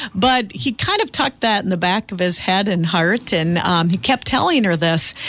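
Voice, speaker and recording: Over noticeable background noise, a woman with an Upper Midwest accent talks at a medium pitch and moderate pace, her loudness very even and her intonation lively. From Central Minnesota. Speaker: farmland auctioneer. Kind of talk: radio interview. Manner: animated.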